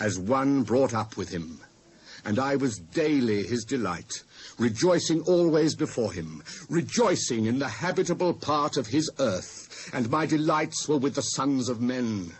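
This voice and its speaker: With vocal fry and very wide pitch swings, a man talks at a fairly slow pace and medium pitch. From England. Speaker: actor. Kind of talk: dramatised Bible reading.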